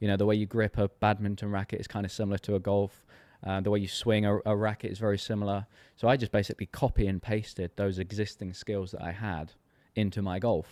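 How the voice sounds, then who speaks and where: In an English accent, the speaker rushes at a very fast pace in a monotone, flat intonation, captured dry and close with no echo on a very clean recording with a silent background. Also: man, fairly low pitch for a man. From rural England. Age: 30s. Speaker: golf coach. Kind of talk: casual interview chat.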